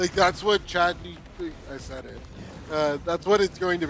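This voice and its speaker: Moderate pace against noticeable background noise. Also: man. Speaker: gaming streamer. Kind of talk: casual chat. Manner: loud.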